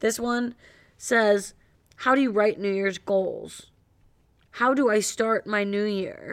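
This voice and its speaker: A woman's fairly high voice with an American accent, very slow and fairly even, broken by long, frequent pauses, on a very clean recording with a silent background. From Cleveland, US Midwest. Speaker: podcast co-host. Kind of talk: casual chat.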